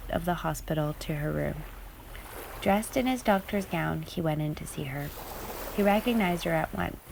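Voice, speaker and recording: Against noticeable background noise, a woman talks at a moderate pace in a calm, soothing tone. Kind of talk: calming storytelling aloud, ASMR-style.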